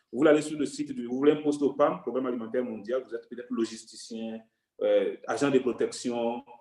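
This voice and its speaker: Speaking very fast at a medium pitch, a man keeps his intonation fairly even while his loudness swings widely. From Togo. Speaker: UN staff member sharing career advice. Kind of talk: online workshop talk.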